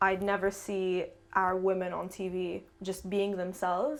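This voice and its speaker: Monotone, flat intonation marks a woman's medium-pitched voice. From Jordan. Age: 20s. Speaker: artist. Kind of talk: interview.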